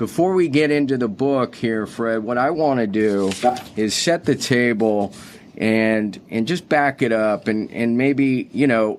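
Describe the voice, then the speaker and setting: A man talks in a normal speaking voice at a medium pitch and a fairly slow pace. His loudness stays very even, with ordinary pitch variation. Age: 50s. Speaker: podcast host. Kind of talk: interview. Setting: office.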